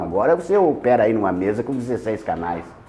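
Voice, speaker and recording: Room echo can be heard around the speaker. Their pitch leaps across a very wide range. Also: man. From Rio Grande do Sul, Missões region. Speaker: radio presenter. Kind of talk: interview. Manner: halting, repetitive.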